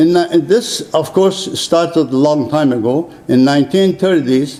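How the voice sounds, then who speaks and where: Over noticeable background noise, a man with a fairly high voice talks at a fairly slow pace. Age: 70s. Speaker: retired surgeon and rights advocate. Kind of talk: formal speech. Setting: conference room. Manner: halting.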